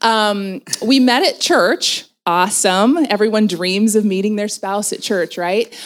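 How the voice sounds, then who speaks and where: In a very clean recording with a silent background, a woman with an American accent speaks at a medium pitch and ordinary pitch variation. Her pace is very slow, yet she takes hardly any pauses. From southern Oregon, US. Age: 40s. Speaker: marriage and family therapist. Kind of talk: interview at a women's retreat.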